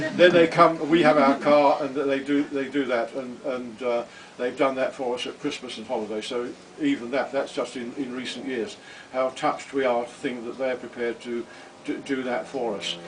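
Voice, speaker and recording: Noticeable background noise fills the recording. Through it, a man talks with fairly even intonation. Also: medium pitch for a man, moderate pace. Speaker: retired hospital administrator, parent speaking at family event. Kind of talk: speech at a family celebration. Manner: halting.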